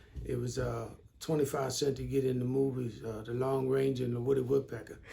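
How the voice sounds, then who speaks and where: A man talks at a fairly quick pace in a monotone, flat delivery, with audible room echo. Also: medium pitch for a man. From Baltimore, Maryland, US. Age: 60s. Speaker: trauma response worker. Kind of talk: interview. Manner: halting, many fillers.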